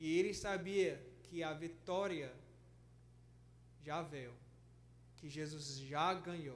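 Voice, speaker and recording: There is audible room echo as a man speaks at a very slow pace, with long, frequent pauses. His loudness swings a lot, and his pitch varies in an ordinary way. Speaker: pastor and missionary. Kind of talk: sermon. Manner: halting, frequent self-corrections.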